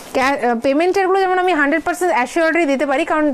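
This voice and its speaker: Lively intonation marks a woman's speech over noticeable background noise. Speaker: online saree seller. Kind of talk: live sales stream. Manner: code-switching Bengali, Hindi, English; hesitant fillers.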